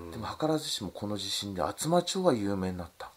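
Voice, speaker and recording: A fairly quick, fairly low-pitched man's voice with very wide pitch swings. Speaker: fruit farmer. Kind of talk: recorded interview.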